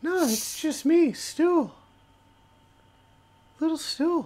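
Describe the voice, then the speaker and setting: A man uses a put-on character voice, pitched extremely high and delivered at a very slow pace. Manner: friendly, cheerful.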